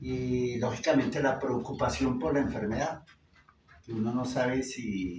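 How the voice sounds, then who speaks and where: Over noticeable background noise, a man speaks at a fairly slow pace, medium in pitch, with ordinary pitch variation. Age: 60s. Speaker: engineer and cancer patient. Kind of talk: interview testimony.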